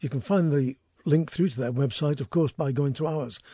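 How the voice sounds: Here a man speaks at a moderate pace with a fairly high pitch and ordinary pitch variation. His tone is dark and mellow, with a slightly husky edge.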